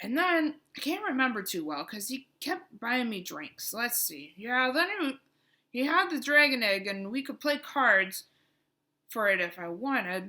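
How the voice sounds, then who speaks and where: A woman in a put-on character voice, high-pitched, at a moderate pace. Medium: read story. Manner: rambling, chatty.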